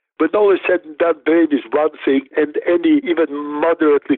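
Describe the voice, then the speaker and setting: A man with a Russian accent at a moderate pace. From Soviet Union, Riga and Moscow. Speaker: neuroscientist and clinician. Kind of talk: interview.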